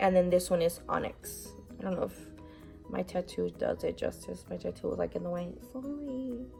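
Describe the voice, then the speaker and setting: A woman keeps a moderate pace. There is music in the background. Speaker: beauty vlogger. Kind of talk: casual talk to camera. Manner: goofy, over the top.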